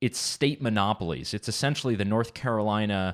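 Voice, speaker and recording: A man speaks in a French-Canadian accent at a fairly low pitch with ordinary pitch variation. The recording is very clean, with a silent background. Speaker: policy advocate. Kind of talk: radio interview.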